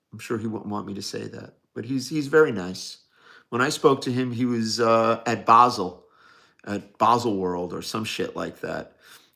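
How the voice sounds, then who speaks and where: On a very clean recording with a silent background, a man with a New York accent speaks at a fairly low pitch with ordinary pitch variation. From New York, Staten Island. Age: 60s. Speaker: watch dealer livestreamer. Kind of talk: casual livestream Q&A. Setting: live stream.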